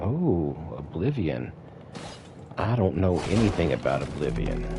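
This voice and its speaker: Against background music and audible room echo, a man with a very deep, low pitch speaks at a fairly slow pace with very wide pitch swings. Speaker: gaming livestreamer. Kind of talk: live gameplay commentary. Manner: casual, halting.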